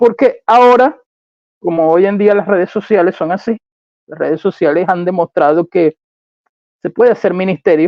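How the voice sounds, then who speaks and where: A man's high-pitched voice at a fairly quick pace, with ordinary pitch variation and long, frequent pauses. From Caribbean. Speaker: Bible teacher. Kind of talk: online Bible teaching livestream. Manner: fast.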